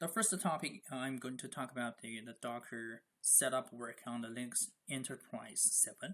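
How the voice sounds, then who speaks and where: A man at a medium pitch with a non-native accent, a bright, sharp tone, lively intonation, a moderate pace and hardly any pauses. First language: not English. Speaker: Linux DevOps instructor. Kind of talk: tutorial. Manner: halting, many fillers and repetitions.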